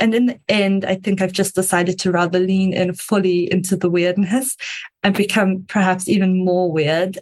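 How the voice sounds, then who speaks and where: A woman with a slight South African accent speaks at medium pitch and a moderate pace, somewhat breathy, with monotone, flat intonation and very even loudness. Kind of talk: interview answers.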